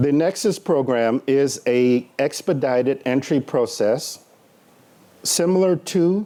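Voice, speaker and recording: Lively intonation marks this man's medium-pitched voice, which has a dark, mellow tone. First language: Spanish. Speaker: government official presenting at a conference panel. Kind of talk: conference panel presentation. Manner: halting, with frequent fillers.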